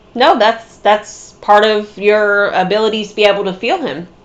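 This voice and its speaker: At a fairly slow pace, a woman talks over noticeable background noise. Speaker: psychic medium. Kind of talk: mediumship reading. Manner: giggly.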